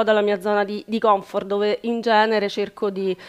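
A voice at a moderate pace with fairly even intonation is heard over a quiet background. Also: woman. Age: 40s. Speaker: working mother taking part in a coaching program; interviewee. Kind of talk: personal testimony in an interview. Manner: halting, with repetitions. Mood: reflective, personal. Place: shop. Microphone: headset.

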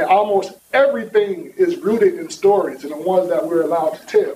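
The speaker is a man with a high pitch and an American accent. His intonation is lively, with light background noise. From New York. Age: 40s. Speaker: sociology professor; speaker, educator. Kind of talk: panel talk. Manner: casual. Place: hall. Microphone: podium.

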